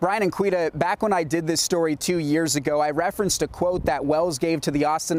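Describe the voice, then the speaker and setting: This man talks at a very fast pace in a high voice with an American accent. His intonation stays fairly even over noticeable background noise. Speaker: TV news anchor and sports reporter. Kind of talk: TV news anchor and sports reporting.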